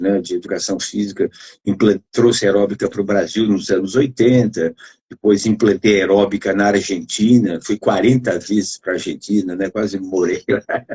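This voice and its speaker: A man's fairly low voice, dark and mellow in tone, with fairly even intonation at a moderate pace, in a dry, close sound with no echo. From Brazil, interior of São Paulo state (Adamantina). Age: 70s. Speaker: physical education professor. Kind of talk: casual chat. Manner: halting.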